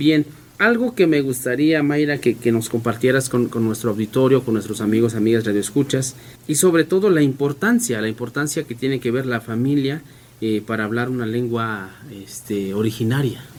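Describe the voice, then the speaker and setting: A man talks at a medium pitch. His pace is moderate, with ordinary pitch variation. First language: Mixe (speaking Spanish). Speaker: community radio host. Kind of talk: radio interview.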